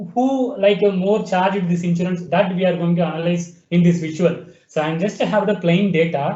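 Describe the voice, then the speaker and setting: A high-pitched male voice with ordinary pitch variation, a moderate pace, hardly any pauses and audible room echo. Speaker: webinar presenter demonstrating software. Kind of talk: software tutorial demo. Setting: online webinar.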